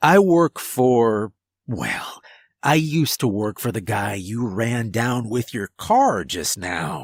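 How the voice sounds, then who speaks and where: A man in a raspy, put-on character voice speaks at a medium pitch and a fairly slow pace, on a very clean recording with a silent background. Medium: read story. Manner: casual, mischievous, laid-back.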